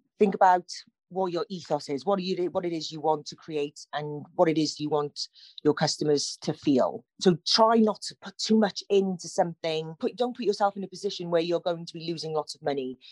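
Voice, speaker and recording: With a Cardiff accent, a woman speaks at a fairly quick pace with big swings in loudness. The sound is dry and close, with no echo. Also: fairly low pitch for a woman, ordinary pitch variation. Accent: Welsh, Cardiff area. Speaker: plant shop owner. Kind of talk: radio interview, chatty. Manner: warm, animated, conversational.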